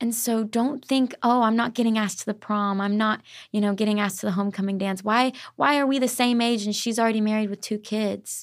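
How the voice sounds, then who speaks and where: Speaking very fast in a Southern US accent, a woman with a fairly high pitch keeps her intonation fairly even on a very clean recording over a silent background. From Arkansas. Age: 20s. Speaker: author, singer-songwriter and worship leader. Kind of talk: casual faith interview.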